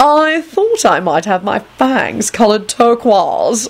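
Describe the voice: With big pitch swings and a medium pitch, a woman puts on a character voice at a slow pace.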